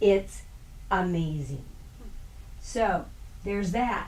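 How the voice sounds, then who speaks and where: Her animated voice swings very widely in pitch, with audible room echo and noticeable background noise around this woman. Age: 60s. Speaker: health practitioner doing thermography. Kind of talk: health workshop talk. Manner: casual, animated.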